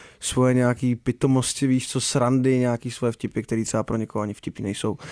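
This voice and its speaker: A man's medium-pitched, flat, monotone voice at a fairly quick pace, in a very clean recording with a silent background. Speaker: singer. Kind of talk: casual interview.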